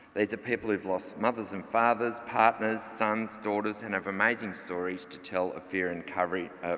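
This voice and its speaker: A man talks at a fairly quick pace in an Australian accent, with ordinary pitch variation. Noticeable background noise is present. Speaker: journalist and author. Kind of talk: conference presentation. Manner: fast.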